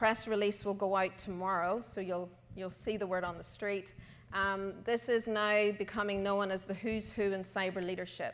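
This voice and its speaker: Monotone, flat intonation from a woman with an Irish accent. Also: medium pitch for a woman, moderate pace. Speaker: conference co-chair. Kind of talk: closing remarks.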